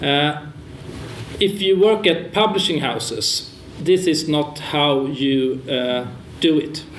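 A man with a Swedish accent speaks very slowly at a fairly high pitch. Noticeable background noise and audible room echo are present. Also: ordinary pitch variation. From Sweden. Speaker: publisher and moderator. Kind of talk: panel moderation. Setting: stage with audience.

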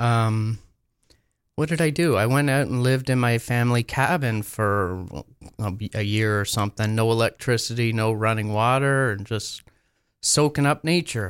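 On a very clean recording with a silent background, a man with a Canadian accent talks at a moderate pace, using a medium pitch and ordinary pitch variation. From Ontario, Canada (Muskoka area). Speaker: canoe builder. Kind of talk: interview. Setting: studio. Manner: halting, many fillers.

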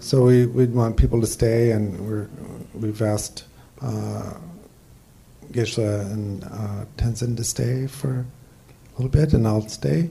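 A man's medium-pitched voice at a very slow pace, with ordinary pitch variation and noticeable background noise. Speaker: Dharma center member, therapist, introducing the speaker. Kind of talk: introduction and moderating.

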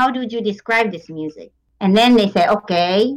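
At a moderate pace, a woman with a Japanese accent speaks at a fairly high pitch with ordinary pitch variation. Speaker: tango teacher. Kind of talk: interview.

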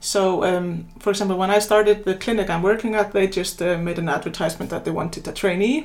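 In an Icelandic accent, a woman talks at a very fast pace with a medium pitch. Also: ordinary pitch variation. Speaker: general practitioner. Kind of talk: interview.

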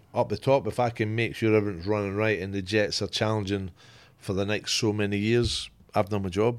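A man with a Scottish accent talks at a moderate pace and a fairly low pitch, his intonation fairly even. The recording is very clean, with a silent background. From Scotland. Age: 50s. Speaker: football club executive, former coach. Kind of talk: casual chat.

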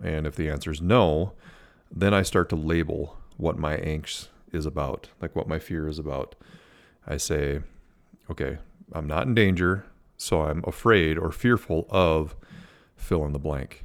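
A man with an Upper Midwest accent speaks at a fairly slow pace with very deep, low pitch and ordinary pitch variation, leaving long, frequent pauses. The recording is very clean with a silent background. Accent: Upper Midwest American. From US Midwest, Minnesota. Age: 40s. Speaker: podcast host. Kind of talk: advice monologue. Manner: casual, many fillers.

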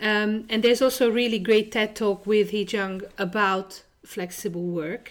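A woman speaks with a Hungarian accent and fairly even intonation. The recording is very clean, with a silent background. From Hungary. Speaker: podcast host. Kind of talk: interview.

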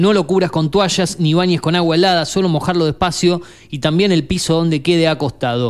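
Speaking with an Argentine accent, a man goes at a fairly quick pace in a high voice. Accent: Argentine Spanish (Rioplatense). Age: 40s. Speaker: radio host. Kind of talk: radio show hosting. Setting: studio.

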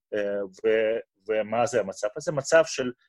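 A man's fairly slow delivery, dry and close with no echo. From Russia, Moscow. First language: Russian (speaking Hebrew). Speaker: physician and medical researcher. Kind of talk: interview.

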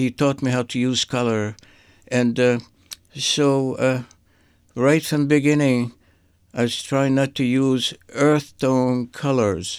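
A man with a strong Syrian accent speaks very slowly at medium pitch, with long, frequent pauses and fairly even intonation. The recording is very clean, with a silent background. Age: 80s. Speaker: visual artist. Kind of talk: radio interview. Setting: studio.

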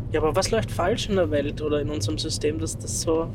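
A man at a fairly quick pace, with very wide pitch swings and noticeable background noise. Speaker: podcast co-host. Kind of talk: casual chat. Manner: talks very high when excited.

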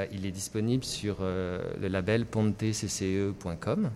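Noticeable background noise fills the clip. A man speaks through it. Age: middle-aged. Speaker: singer-songwriter. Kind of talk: radio interview. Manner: animated.

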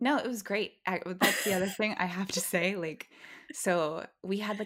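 The speaker is a woman talking fairly quickly. Her accent is Californian. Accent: Californian American. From Los Angeles suburbs (Valencia). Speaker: podcast host, ex-ballerina, digital producer. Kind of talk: casual chat.

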